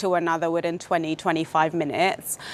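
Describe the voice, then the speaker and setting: This woman speaks at a medium pitch. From The Gambia. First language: Wolof and Jola. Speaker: IT business analyst. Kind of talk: interview. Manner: hesitant, many fillers and repeats.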